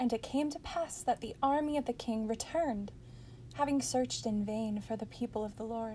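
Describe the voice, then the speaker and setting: Her tone is dark and mellow, pitched fairly high for a woman. She keeps a moderate pace with ordinary pitch variation. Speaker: audiobook narrator. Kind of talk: scripture audiobook reading. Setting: home recording, non-professional microphone. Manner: expressive, storytelling.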